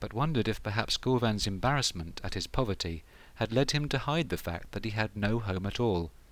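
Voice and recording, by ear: Intonation here is lively. The voice is reading aloud in a natural voice.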